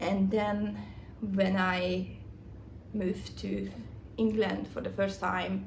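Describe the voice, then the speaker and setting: A woman with a non-native accent at a very slow pace, long, frequent pauses, audible room echo and noticeable background noise. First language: not English. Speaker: writer. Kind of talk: casual vlog. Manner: halting.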